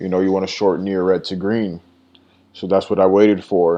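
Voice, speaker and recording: In a monotone, flat intonation, a man speaks with a very deep, low pitch. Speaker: day trader reviewing own trades. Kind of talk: screen-share trade recap. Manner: stutters; casual, halting with many fillers.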